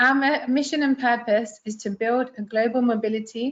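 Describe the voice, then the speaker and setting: A woman with a London accent talks at a moderate pace and a fairly high pitch. Her voice is somewhat breathy, with fairly even intonation. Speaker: international relations staff presenter. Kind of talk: webinar presentation.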